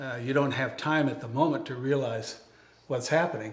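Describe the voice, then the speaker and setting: In a room with audible echo, a man with an American accent speaks at a moderate pace with fairly even intonation. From upstate New York. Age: 70s. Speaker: cancer survivor and author. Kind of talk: interview. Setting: guest's home.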